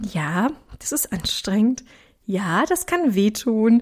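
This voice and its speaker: Very slow speech from a woman with a fairly high pitch and lively intonation. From Ruhr area, Germany. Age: 30s. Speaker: podcast host and weight coach. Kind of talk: solo podcast monologue. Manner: animated.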